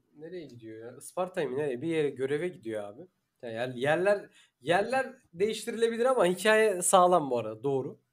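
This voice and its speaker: At a moderate pace, a man with a fairly high pitch moves through very wide pitch swings. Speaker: podcast host. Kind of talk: casual chat.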